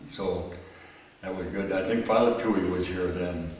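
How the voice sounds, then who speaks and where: A man with a Minnesota accent talks at a moderate pace in a very deep, low voice. Audible room echo and noticeable background noise surround him. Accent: Upper Midwest US (Minnesota). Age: 80s+. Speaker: church usher, parishioner. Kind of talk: oral history interview. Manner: halting, many fillers and restarts.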